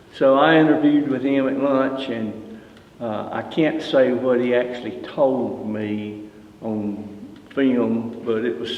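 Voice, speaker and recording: A man in a Southern US accent speaks at medium pitch with ordinary pitch variation. Audible room echo and noticeable background noise surround him. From US South, Greensboro, North Carolina. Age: 70s. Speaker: retired fire battalion chief. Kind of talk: oral history interview. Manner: halting, with fillers.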